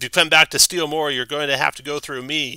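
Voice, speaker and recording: Using a put-on character voice, a man talks at a fairly quick pace in a raised, projected voice with a fairly high pitch. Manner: threatening.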